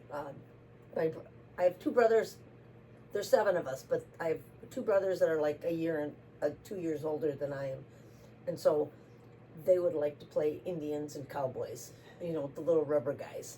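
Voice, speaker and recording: A woman with an Upper Midwest accent speaks at a moderate pace in a very deep, low pitch and a dark, mellow tone. Her pitch varies in an ordinary way, while her loudness swings widely and long, frequent pauses break her speech. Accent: Upper Midwest American. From US Midwest, Racine, Wisconsin. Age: 70s. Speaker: interviewee. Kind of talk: casual interview.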